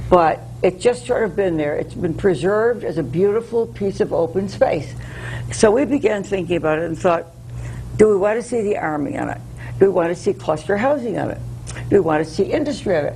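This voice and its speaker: A woman talks at a fairly quick pace with an American accent. Noticeable background noise runs through the clip. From US Northeast, Connecticut. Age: 80s+. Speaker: local preservation activist. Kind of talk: interview.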